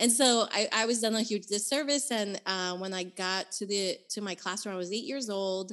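In an American accent, a woman with a normal speaking voice talks at a medium pitch with ordinary pitch variation and hardly any pauses over a quiet background. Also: moderate pace. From Nicaragua, raised in the US. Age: 30s. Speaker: author and activist. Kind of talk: casual interview chat.

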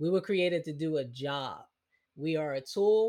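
Speaking at a fairly slow pace, a man with a slight Southern US accent uses a fairly high pitch and ordinary pitch variation in a very clean recording with a silent background. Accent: slight rural Southern US twang. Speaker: habit strategist and podcaster. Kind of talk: interview conversation. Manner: repeats words when thinking.

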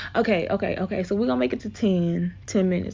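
The speaker is a woman with an American accent. Her delivery is fairly quick. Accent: Southern US, shifting between accents. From US South. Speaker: podcast host. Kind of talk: casual solo monologue. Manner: rambling, laughs often.

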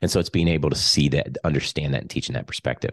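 With vocal fry and a very deep, low pitch, a man speaks with fairly even intonation. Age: 40s. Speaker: leadership coach and author. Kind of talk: interview.

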